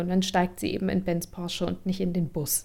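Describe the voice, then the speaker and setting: A dark, mellow tone with monotone, flat intonation. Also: woman. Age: 20s. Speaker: actress. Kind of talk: casual chat. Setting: video call.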